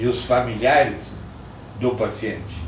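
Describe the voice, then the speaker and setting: A man at medium pitch talks at a fairly slow pace, with audible room echo and noticeable background noise. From southern Brazil, Rio Grande do Sul (Passo Fundo). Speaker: retired physician. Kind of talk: oral history interview.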